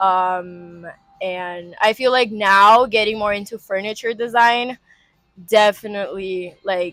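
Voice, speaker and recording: A woman's medium-pitched voice at a fairly slow pace, fairly even intonation, music playing in the background. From Rio de Janeiro, Brazil. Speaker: industrial design student. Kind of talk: interview answer. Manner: casual, hesitant.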